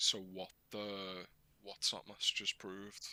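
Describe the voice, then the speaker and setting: A quiet man's voice with a bright, sharp tone. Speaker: podcast co-host. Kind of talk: casual chat. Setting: live-streamed podcast. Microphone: too quiet for listeners.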